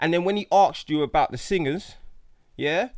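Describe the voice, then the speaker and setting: At a fairly quick pace, a man with a high voice speaks in an animated tone with ordinary pitch variation, recorded very cleanly over a silent background. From South London, Jamaican heritage. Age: 30s. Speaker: stand-up comedian. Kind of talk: casual interview chat.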